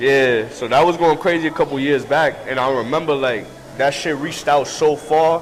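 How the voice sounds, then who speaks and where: In a New York accent, a man speaks at a moderate pace with a fairly high pitch. His intonation is fairly even, and noticeable background noise can be heard. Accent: New York City. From New York City, Washington Heights. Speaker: rapper. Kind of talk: casual interview. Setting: restaurant.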